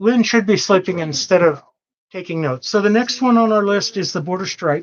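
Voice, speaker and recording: The words come out as mumbling at a fairly quick pace. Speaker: live sale host for quilting fabric. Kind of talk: casual live-stream sales talk. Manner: casual, joking.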